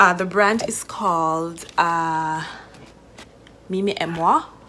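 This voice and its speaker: In a room with audible echo, a woman speaks at a fairly low pitch with ordinary pitch variation. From Jamaica. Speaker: vlogger, wine importer. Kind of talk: casual vlog chat. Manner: casual with many fillers.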